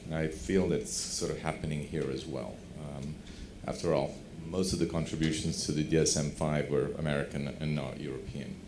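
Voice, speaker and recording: In a room with audible echo, a man speaks in a very deep, low voice with monotone, flat intonation. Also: moderate pace. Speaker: doctor, audience panelist. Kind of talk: conference Q&A comment. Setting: conference hall, microphone passed around.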